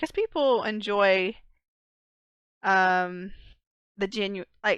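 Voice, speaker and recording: A woman's very slow, medium-pitched speech with long, frequent pauses and ordinary pitch variation, dry and close without echo. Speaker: podcast co-host and streamer. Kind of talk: casual chat.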